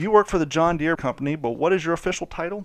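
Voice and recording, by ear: A man speaking fast, with vocal fry and ordinary pitch variation.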